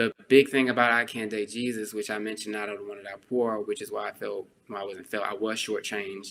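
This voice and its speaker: Speaking with a Texan accent, a man delivers his words in a monotone, flat intonation at a fairly quick pace with hardly any pauses. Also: fairly low pitch for a man. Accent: Texan, speaks in his natural way. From Texas. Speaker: author. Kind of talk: podcast interview. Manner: casual, many fillers.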